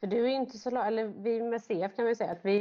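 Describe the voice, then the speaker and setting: At a fairly quick pace, a woman talks in an ordinary speaking voice. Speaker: podcast co-host with cystic fibrosis. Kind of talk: casual interview.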